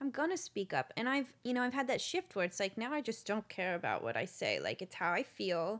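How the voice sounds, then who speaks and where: A woman with a fairly high pitch and vocal fry talks at a fairly quick pace with hardly any pauses, her pitch swinging very widely. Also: very clean recording, silent background. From Nashville, Tennessee. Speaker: singer-songwriter. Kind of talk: casual interview chat.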